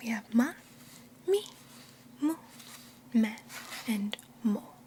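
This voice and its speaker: A soft-spoken woman talks at a very slow pace with a high pitch and lively intonation. Noticeable background noise sits behind her. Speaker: Japanese language teacher (roleplay). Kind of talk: ASMR language lesson.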